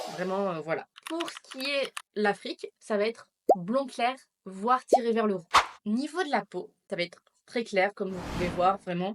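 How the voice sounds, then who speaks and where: This woman has a normal speaking voice with a fairly high pitch and lively intonation. She goes at a fairly slow pace, and the sound is dry and close with no echo. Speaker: YouTuber. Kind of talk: personal vlog. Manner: casual.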